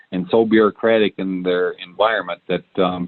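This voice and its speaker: A man speaks with a Michigan accent. His pace is fairly quick. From Michigan, US Midwest. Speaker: entrepreneur. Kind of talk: podcast interview. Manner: many filler words (um, uh).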